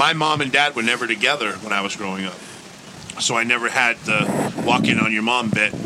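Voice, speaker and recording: A man talks at a fairly quick pace in a medium pitch, with ordinary pitch variation. Noticeable background noise runs underneath. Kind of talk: casual banter, crude and joking. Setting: studio. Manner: loud, rowdy, profane and gleefully teasing.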